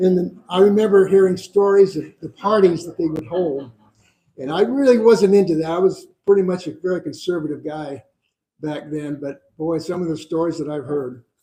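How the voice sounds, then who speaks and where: At a moderate pace, a man with a high pitch and a dark, mellow tone speaks with ordinary pitch variation and big swings in loudness. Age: 70s. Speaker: crisis center volunteer. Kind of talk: speech at a community event. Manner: hesitant, many fillers.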